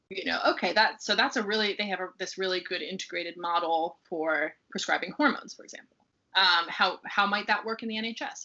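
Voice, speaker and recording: With an American accent, a woman speaks at a very fast pace and a medium pitch with ordinary pitch variation. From United States. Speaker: research fellow. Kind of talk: interview. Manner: halting, many fillers.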